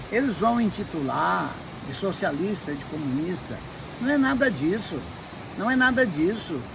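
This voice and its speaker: A man speaks very slowly at a high pitch, his voice making very wide pitch swings. Noticeable background noise runs underneath. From Minas Gerais, Brazil. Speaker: businessman and writer. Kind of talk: interview answer.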